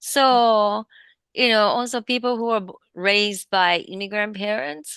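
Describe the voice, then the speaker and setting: Against a quiet background, a woman with a bright, sharp tone and a fairly high pitch speaks at a fairly slow pace with ordinary pitch variation. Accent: Japanese. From Japan. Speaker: comedian, podcast co-host. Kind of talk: casual chat.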